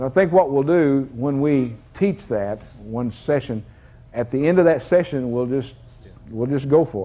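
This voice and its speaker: A man talks at a fairly slow pace. His tone is dark and mellow, with ordinary pitch variation. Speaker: deliverance minister. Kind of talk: deliverance prayer. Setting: church service with congregation. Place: church. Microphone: lapel.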